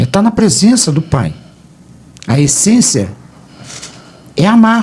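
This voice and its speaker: At a very slow pace, a man with a high pitch makes very wide pitch swings while keeping his loudness very even. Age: 70s. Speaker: pastor. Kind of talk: radio debate. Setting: radio studio.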